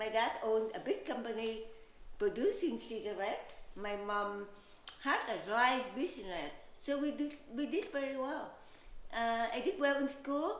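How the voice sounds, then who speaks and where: A woman with a Vietnamese accent speaks in a high voice, her pitch swinging very widely. She keeps a moderate pace with long, frequent pauses, and the room echo is audible. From Vietnam, Saigon. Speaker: realtor and pageant contestant. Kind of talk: interview. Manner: hesitant, with fillers.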